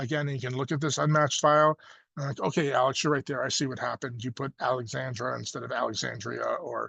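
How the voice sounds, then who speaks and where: A man talking at a very fast pace with ordinary pitch variation over a quiet background. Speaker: state education coordinator, webinar presenter. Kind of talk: webinar presentation. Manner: casual, many fillers.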